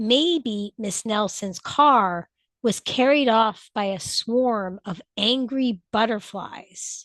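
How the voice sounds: A natural reading voice with ordinary pitch variation, against a quiet background.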